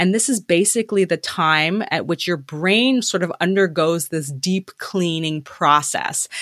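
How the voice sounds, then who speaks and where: A woman with a Canadian accent speaks in an unremarkable speaking voice, fairly low in pitch, with ordinary pitch variation, at a fairly slow pace and with hardly any pauses. The sound is dry and close with no echo, and the recording is very clean over a silent background. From Canada. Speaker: cognitive aging researcher. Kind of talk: interview.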